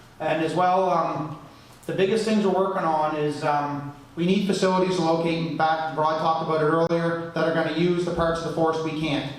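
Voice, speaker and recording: Loud and fairly quick, a man with a high-pitched voice speaks in a flat monotone amid audible room echo and noticeable background noise. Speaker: sawmill executive. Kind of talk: conference presentation. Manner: fast.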